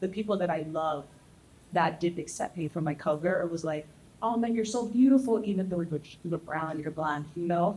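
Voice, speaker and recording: A woman's somewhat breathy voice, dark and mellow, at a fairly quick pace with ordinary pitch variation. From Texas. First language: Spanish. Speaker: panelist. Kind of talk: panel discussion.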